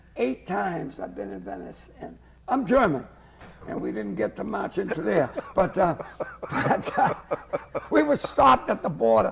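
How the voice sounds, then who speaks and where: Over noticeable background noise, the voice moves at a moderate pace with long, frequent pauses and big swings in loudness. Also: man. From Lynn, Massachusetts. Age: 70s. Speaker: comedian. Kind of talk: comedic interview chat. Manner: animated.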